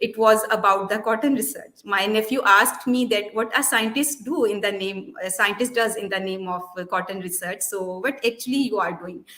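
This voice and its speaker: Over noticeable background noise, a woman with a Pakistani accent speaks at a moderate pace with a fairly high pitch and ordinary pitch variation. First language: Urdu. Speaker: molecular biologist and children's book author. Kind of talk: interview. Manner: halting, with many fillers.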